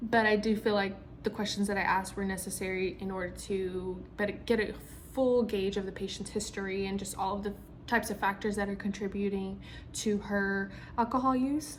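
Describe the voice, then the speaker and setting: A woman with a somewhat breathy voice at medium pitch talks at a fairly quick pace with fairly even intonation, and audible room echo surrounds her. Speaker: physician assistant student. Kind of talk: spoken self-reflection. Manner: hesitant, many ums and stutters.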